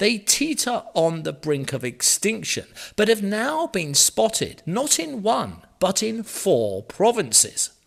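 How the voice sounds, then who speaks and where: A man with an English accent speaks very slowly at a high pitch, his voice swinging very widely up and down. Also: hardly any pauses. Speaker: news presenter. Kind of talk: news reading. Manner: tongue-in-cheek.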